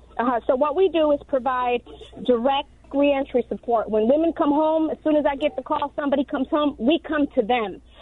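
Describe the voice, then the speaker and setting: In an American accent, a woman talks at a fairly quick pace with a high pitch. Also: ordinary pitch variation. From Chicago, South Side. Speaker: reentry advocate, formerly incarcerated. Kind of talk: radio interview. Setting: phone call.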